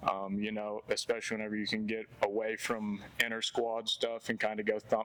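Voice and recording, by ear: At a fairly quick pace, a man speaks with a fairly low pitch and a fairly bright tone.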